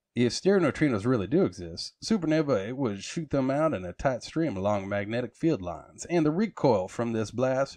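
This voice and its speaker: Against a quiet background, a man speaks at a moderate pace with a Texan accent. His voice sits at a medium pitch but makes very wide pitch swings. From Texas. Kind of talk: magazine article reading.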